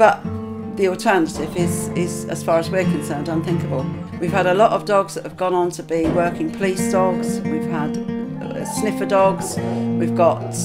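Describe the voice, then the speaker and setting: A woman talks at a moderate pace. Clear music sounds behind her. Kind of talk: interview answer. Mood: earnest, concerned.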